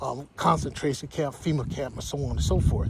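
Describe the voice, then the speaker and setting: Noticeable background noise fills the recording. The man's pitch rises and falls in an ordinary way. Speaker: religious livestreamer. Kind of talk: walking livestream monologue. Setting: outdoors, walking. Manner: fast.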